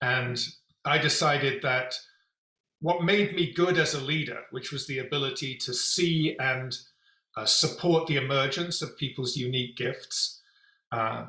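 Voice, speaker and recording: A fairly high-pitched man with a London accent, a bright, sharp tone, ordinary pitch variation, a fairly slow pace and long, frequent pauses. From England, London. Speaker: executive coach and company founder. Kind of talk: interview.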